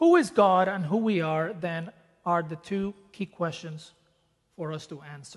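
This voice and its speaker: Someone speaks in a Spanish accent at a fairly slow pace. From Dominican Republic. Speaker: preacher. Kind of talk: sermon. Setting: church.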